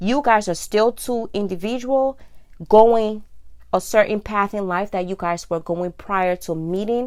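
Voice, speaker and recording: Here is a plain, everyday voice at a fairly slow pace with ordinary pitch variation. The recording is very clean, with a silent background. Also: woman. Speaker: vlogger. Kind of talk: casual monologue.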